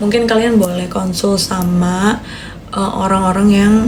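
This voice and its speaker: Amid noticeable background noise and audible room echo, a woman speaks at a fairly slow pace with fairly even intonation. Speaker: newly graduated doctor livestreamer. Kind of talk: casual live stream chat. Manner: chatty, reads comments aloud.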